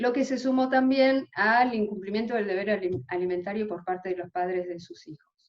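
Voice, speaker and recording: Her pitch varies in an ordinary way. The woman's voice sits at a medium pitch. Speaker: legal aid lawyer. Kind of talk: conference presentation. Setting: video call. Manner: fast.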